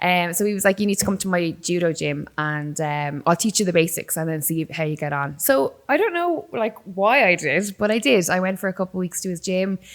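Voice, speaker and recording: Speaking with an Irish accent, a woman with a fairly low voice moves at a fairly quick pace, with ordinary pitch variation and hardly any pauses. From Ireland, Waterford. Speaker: combat sports presenter, former musician. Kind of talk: casual interview chat. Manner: animated storytelling.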